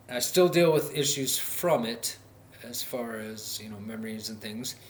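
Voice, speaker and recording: In an Upper Midwest accent, a man speaks at a moderate pace and medium pitch, with audible room echo. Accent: Upper Midwest American. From North Dakota, US Midwest. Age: 30s. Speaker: vlogger, recovery advocate. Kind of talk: personal vlog monologue. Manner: halting, many fillers.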